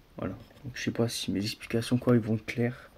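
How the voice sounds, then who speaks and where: Soft-spoken and somewhat breathy, the voice keeps to monotone, flat intonation. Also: man. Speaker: RC car hobbyist youtuber. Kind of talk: product presentation. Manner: hesitant, many fillers.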